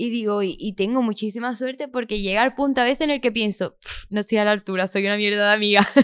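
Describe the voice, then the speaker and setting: Very fast speech over a quiet background. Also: woman, fairly high pitch for a woman, ordinary pitch variation. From Andalusia, Chiclana (Cádiz); Andalusia. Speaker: singer; podcast guest. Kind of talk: casual interview; interview answer. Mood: lively, candid storytelling. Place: studio. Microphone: studio mic.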